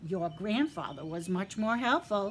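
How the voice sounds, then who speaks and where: Over clear background noise, a woman uses a put-on character voice at a medium pitch. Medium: read story. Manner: sly, cheeky.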